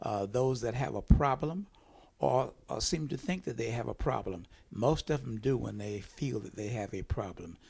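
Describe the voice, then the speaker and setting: Vocal fry runs through a man's medium-pitched voice. He moves at a moderate pace with lively intonation. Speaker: radio host. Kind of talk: interview questions.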